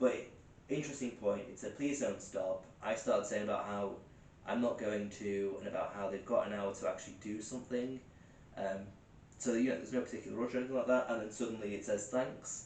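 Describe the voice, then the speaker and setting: With noticeable background noise and audible room echo, a man of medium pitch speaks with fairly even intonation. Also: fairly quick pace. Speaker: paranormal investigator. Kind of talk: live investigation commentary. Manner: fast; hesitant with many fillers.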